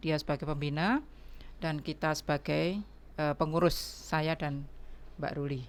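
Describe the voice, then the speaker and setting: Her pitch is very deep and low for a woman, and it varies in an ordinary way. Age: 60s. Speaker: breast cancer survivor, foundation organizer. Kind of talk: podcast interview.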